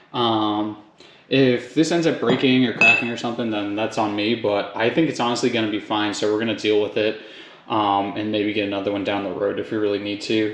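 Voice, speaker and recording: There is audible room echo as a man speaks at a fairly quick pace. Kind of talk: tutorial. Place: garage. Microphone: phone near.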